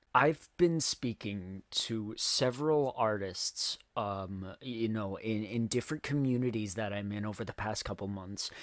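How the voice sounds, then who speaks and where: A shaky voice at a fairly slow pace, with hardly any pauses and ordinary pitch variation. The recording is very clean, with a silent background. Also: man, fairly low pitch for a man. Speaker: music cover artist and channel owner. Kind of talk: casual vlog monologue. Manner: shaky, stuttering.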